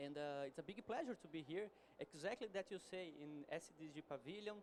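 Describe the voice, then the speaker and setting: A man with a Portuguese accent speaks at a fairly quick pace with ordinary pitch variation. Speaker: energy company executive. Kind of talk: conference presentation. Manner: halting.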